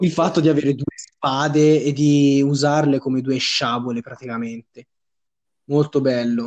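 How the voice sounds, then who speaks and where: This is a normal speaking voice from a man, fairly high in pitch with fairly even intonation. He talks at a moderate pace, and the sound is dry and close with no echo. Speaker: podcast co-host. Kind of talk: casual chat.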